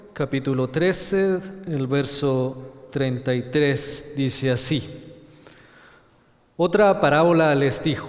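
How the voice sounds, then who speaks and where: A man speaks with a Chilean accent. Noticeable background noise and audible room echo fill the recording. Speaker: preacher. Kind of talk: sermon. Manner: halting, with repetitions.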